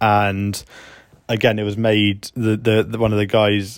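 A man with a British accent speaks in a fairly low, flat monotone, recorded very cleanly against a silent background. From Britain. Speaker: podcaster documenting refugee journey. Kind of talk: spoken travel diary. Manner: halting, with fillers and repeats.

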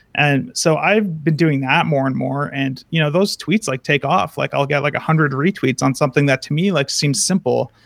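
With a normal speaking voice, a man of fairly high pitch talks at a moderate pace with ordinary pitch variation and hardly any pauses, in a dry, close sound with no echo. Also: very clean recording, silent background. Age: 20s. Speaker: software developer. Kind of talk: interview.

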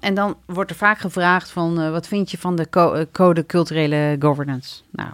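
A woman with a normal speaking voice talks at a fairly low pitch and a moderate pace on a very clean recording with a silent background. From Morocco, raised in a Dutch village. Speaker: city alderman. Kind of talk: interview. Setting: studio.

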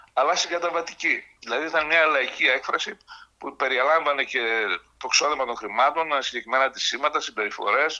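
A man speaks in an ordinary speaking voice with ordinary pitch variation. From Thessaloniki, northern Greece. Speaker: writer. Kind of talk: interview.

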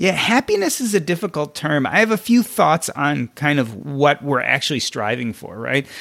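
This man speaks at a moderate pace with hardly any pauses. His fairly high pitch makes very wide swings. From US Midwest (Evanston, Illinois). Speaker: physician and financial blogger. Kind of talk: podcast interview.

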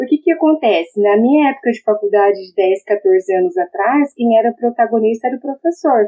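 A woman speaks at a moderate pace with lively intonation and fairly high pitch. Her loudness swings widely, and she hardly pauses at all. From Brazil, Maringá (Paraná). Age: 30s. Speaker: engineering lecturer. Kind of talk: interview.

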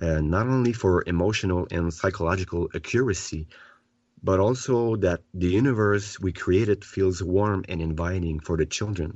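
A man with a French accent, a very deep, low pitch and a moderate pace. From Quebec. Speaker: children's author and therapist. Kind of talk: interview. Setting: remote call from home.

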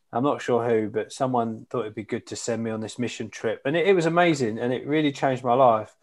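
A man with an Essex accent at a very fast pace, ordinary pitch variation, quiet background. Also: medium pitch for a man, hardly any pauses. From Essex, England. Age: 40s. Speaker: charity CEO. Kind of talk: casual interview. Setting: remote call from home.

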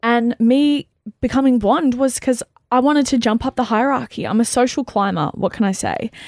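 A very clean recording, silent in the background, with a dry, close sound and no echo, carries a woman's high-pitched voice at very even loudness. She talks at a moderate pace with ordinary pitch variation. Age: 30s. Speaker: radio podcast co-host. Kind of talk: casual chat. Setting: studio. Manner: animated, laughing often.

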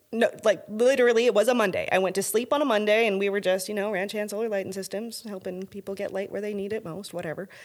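A woman's medium-pitched voice with a western Canadian accent and ordinary pitch variation, in a very clean recording with a silent background. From Canada, northern Alberta. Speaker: lighting company owner. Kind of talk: casual interview.

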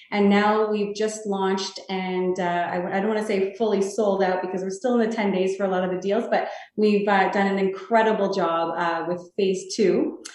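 With a Canadian accent, a woman talks at a medium pitch and moderate pace, with hardly any pauses and fairly even intonation, amid noticeable background noise and audible room echo. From Canada, Toronto. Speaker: real estate sales executive. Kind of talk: interview.

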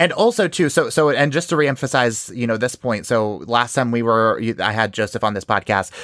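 A fairly quick, medium-pitched man with an American accent, a bright, sharp tone, ordinary pitch variation and a dry, close sound with no echo. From New York. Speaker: true crime podcast host. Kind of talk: casual chat.

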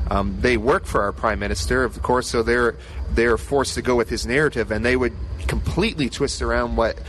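A man with a Maritime Canadian accent talks at a very fast pace. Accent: Canadian (Maritimes). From Nova Scotia, Canada. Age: 20s. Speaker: youth pastor. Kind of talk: podcast interview. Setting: convention center booth.

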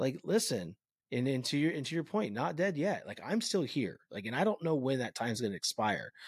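A man with an American accent talks at a fairly quick pace in a fairly high pitch, his voice swinging very widely in pitch and showing vocal fry, on a very clean recording with a silent background. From California. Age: 40s. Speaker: podcast host. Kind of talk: casual interview.

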